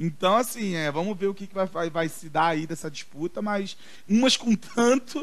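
A moderate pace with ordinary pitch variation. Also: man. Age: 30s. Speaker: podcast co-host. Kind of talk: casual chat.

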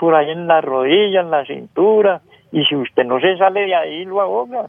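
Moderately paced speech from a man, high in pitch, with ordinary pitch variation. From rural Colombia. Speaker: caller, farmer. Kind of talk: phone-in storytelling. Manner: halting.

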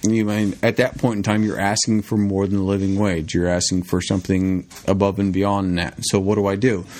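With an American accent, a man delivers fairly low-pitched speech in a flat monotone, with hardly any pauses and very even loudness. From US Pacific Northwest. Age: 30s. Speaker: podcast guest, friend of host. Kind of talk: casual chat.

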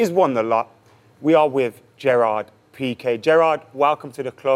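A man with an English accent, ordinary pitch variation, and a dry, close sound with no echo. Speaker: podcast host. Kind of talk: casual interview.

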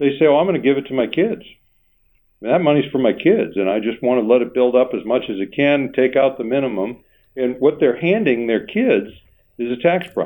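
Here is a man with an ordinary speaking voice at medium pitch. His intonation is lively and his pace fairly quick. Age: 60s. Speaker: financial planner and radio show host. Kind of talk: casual radio talk show chat.

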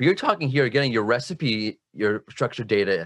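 Against a quiet background, an unremarkable speaking voice moves at a moderate pace with lively intonation, the sound dry and close with no echo. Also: man. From United States. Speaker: SEO specialist. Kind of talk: casual chat.

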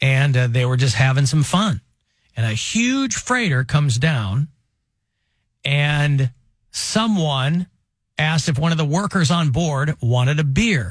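A man speaks at a fairly high pitch in an animated, somewhat breathy way, with lively intonation and very even loudness. He keeps a fairly slow pace with long, frequent pauses, on a very clean recording with a silent background. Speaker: radio show host. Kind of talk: casual comedic talk radio. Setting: radio studio.

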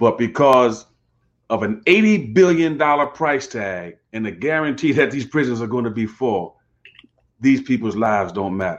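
Using an ordinary speaking voice, a man talks at a moderate pace with a medium pitch and lively intonation. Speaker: pastor and co-host. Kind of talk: casual conversation.

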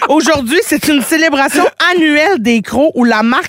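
A woman talks with lively intonation. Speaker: radio host. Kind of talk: casual chat.

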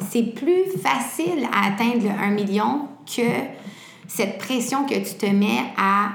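A woman speaks at a very slow pace with very even loudness. There is noticeable background noise and audible room echo. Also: medium pitch for a woman, lively intonation. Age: 20s. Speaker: entrepreneur. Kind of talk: interview.

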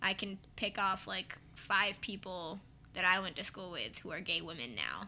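With vocal fry and a bright, sharp tone, a woman of medium pitch speaks at a moderate pace with ordinary pitch variation. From US West Coast, San Francisco Bay Area. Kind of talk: casual chat.

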